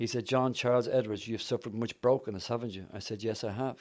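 A man speaks with a Dublin accent at a medium pitch, fairly quickly and with fairly even intonation. The recording is very clean, with a silent background. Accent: Irish (Dublin). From Dublin, Ireland. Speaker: evangelist. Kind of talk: testimony and conversational interview.

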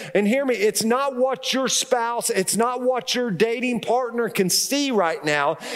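Extremely high pitch from a man, at a fairly slow pace with ordinary pitch variation, over noticeable background noise. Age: 50s. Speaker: pastor. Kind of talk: sermon.

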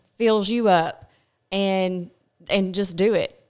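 Her voice is medium in pitch, with a Kentucky accent. The recording is very clean, with a silent background. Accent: Southern US (Kentucky). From Kentucky, Glasgow. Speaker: pharmaceutical sales rep. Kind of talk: casual chat. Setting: studio.

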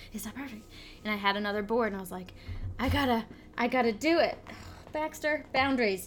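A woman with a fairly high pitch talks at a very fast pace, her tone animated and her pitch varying in an ordinary way. Her loudness swings widely, long pauses come often, and music plays in the background. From Vermont. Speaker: podcast co-host. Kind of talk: casual chat.

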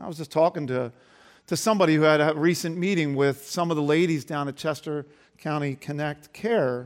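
Speaking at a fairly quick pace, a man with an ordinary speaking voice uses a fairly high pitch and ordinary pitch variation on a very clean recording with a silent background. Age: 50s. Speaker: pastor. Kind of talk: sermon.

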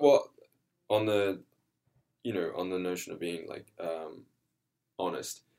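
In an Australian accent, a man speaks at a moderate pace with a very deep, low pitch. His pitch variation is ordinary. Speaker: actor. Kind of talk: casual interview.

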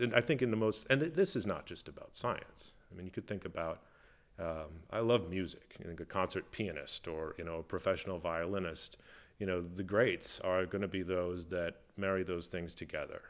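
A man with an Upper Midwest accent speaks at a moderate pace in a very deep, low pitch. The recording is very clean, with a silent background. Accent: Upper Midwest American. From US Midwest (Minnesota). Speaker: zoologist. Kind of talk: interview. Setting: museum back room. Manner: halting, many fillers.

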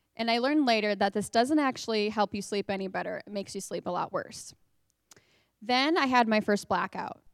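An ordinary speaking voice with an American accent moves at a fairly quick pace, with ordinary pitch variation. The recording is very clean and silent in the background, with a dry, close sound and no echo. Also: woman, fairly high pitch for a woman. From northwest Indiana. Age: 20s. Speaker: church member sharing story. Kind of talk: testimony. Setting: stage with audience.

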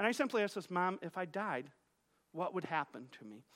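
Speaking at a fairly quick pace, a man has a bright, sharp tone. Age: 40s. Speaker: pastor. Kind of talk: sermon. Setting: church. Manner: halting, with frequent repetitions.

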